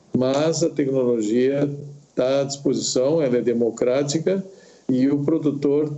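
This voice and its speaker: Over noticeable background noise, a man speaks at a very slow pace and a fairly high pitch. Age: 70s. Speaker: farm director. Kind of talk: panel discussion.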